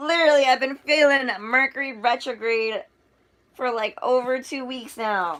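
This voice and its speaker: In a very clean recording with a silent background, a woman speaks fairly slowly at a high pitch with ordinary pitch variation. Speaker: tarot reader. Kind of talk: live tarot and astrology reading to viewers. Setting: livestream. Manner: stuttering and stammering; animated, chatty.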